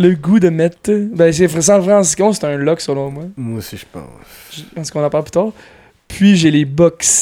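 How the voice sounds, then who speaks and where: A man speaks at a fairly slow pace. His high pitch comes with a dark, mellow tone. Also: ordinary pitch variation. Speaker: football podcast host. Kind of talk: casual chat.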